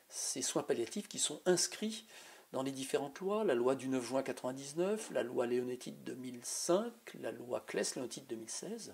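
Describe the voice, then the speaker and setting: Lively intonation marks the man's plain, everyday voice as he talks at a moderate speed. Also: medium pitch for a man. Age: 60s. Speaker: physician and party spokesperson. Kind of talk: political advocacy statement.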